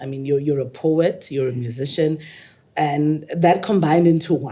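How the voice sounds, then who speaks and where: Energetic in tone, a woman speaks at a moderate pace with a very deep, low pitch. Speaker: podcast host. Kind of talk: interview. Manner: loud.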